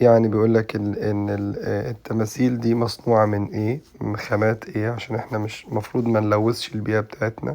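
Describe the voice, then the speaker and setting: In an Egyptian accent, a man with a dark, mellow tone and fairly low pitch speaks at a moderate pace. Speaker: English teacher. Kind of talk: tutorial. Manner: halting with frequent fillers.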